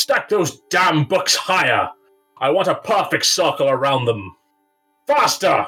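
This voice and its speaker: A man puts on a character voice, high in pitch for a man, at a fairly slow pace. Faint music plays in the background. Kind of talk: fantasy villain acting. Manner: barking, menacing, contemptuous.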